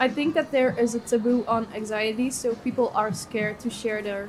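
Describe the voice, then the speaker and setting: A woman's fairly high voice at a moderate pace, fairly even in intonation, against noticeable background noise. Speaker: mental health activist, student. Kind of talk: interview.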